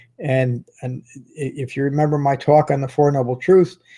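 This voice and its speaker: Recorded very cleanly over a silent background, a man speaks at medium pitch in a somewhat breathy voice with a dark, mellow tone. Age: 60s. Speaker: meditation teacher. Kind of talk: dharma talk. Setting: live stream video.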